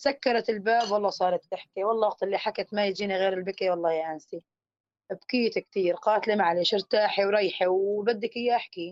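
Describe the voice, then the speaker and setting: Medium-pitched woman at a fairly quick pace. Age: 30s. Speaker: displaced mother sharing her story. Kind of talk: testimony. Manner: halting.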